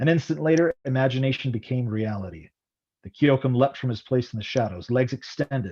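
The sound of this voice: Against a quiet background, someone reads in an unforced reading voice with ordinary pitch variation.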